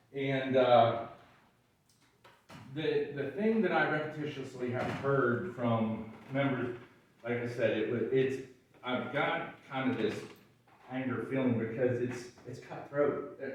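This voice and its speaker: In a room with audible echo and noticeable background noise, a man of medium pitch speaks at a very slow pace with long, frequent pauses. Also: ordinary pitch variation. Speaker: volunteer firefighter speaking at public comment. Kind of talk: public comment at county meeting. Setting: public meeting. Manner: halting.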